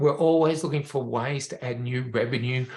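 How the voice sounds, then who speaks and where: A man talks in a normal speaking voice. His voice sits at a medium pitch with fairly even intonation. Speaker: veterinarian, rehab educator. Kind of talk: webinar presentation.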